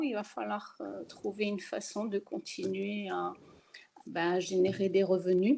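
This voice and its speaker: Very slow pace from a woman. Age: 60s. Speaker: self-employed architect, webinar participant. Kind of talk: personal testimony in a webinar. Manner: hesitant, many fillers.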